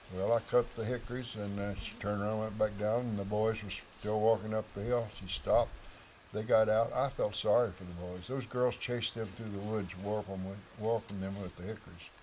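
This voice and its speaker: In an American accent, a man talks at a fairly quick pace with monotone, flat intonation. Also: fairly low pitch for a man. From Missouri Ozarks. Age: 80s+. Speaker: local elder. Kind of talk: interview.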